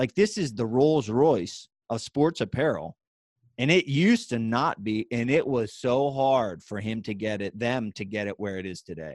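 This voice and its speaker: Speaking in a western Pennsylvania accent, a man of medium pitch sounds energetic, with lively intonation in a dry, close sound with no echo and a quiet background. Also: moderate pace. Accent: western Pennsylvania American. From western Pennsylvania, Pittsburgh side. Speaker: former MMA fighter, author and speaker. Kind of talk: podcast interview.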